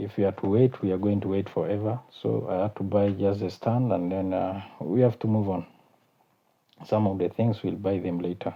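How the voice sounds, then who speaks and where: With a South Sudanese accent, a man speaks at a fairly low pitch with monotone, flat intonation. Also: moderate pace. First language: Kakwa. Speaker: YouTube channel host. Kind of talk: casual vlog talk. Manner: halting, many fillers.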